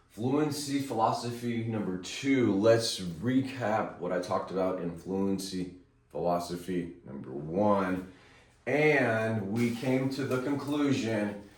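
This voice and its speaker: There is audible room echo as a man speaks at medium pitch. His pace is very slow, with lively intonation. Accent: American. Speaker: video blogger. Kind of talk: off-the-cuff talk to camera. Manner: halting with repetitions.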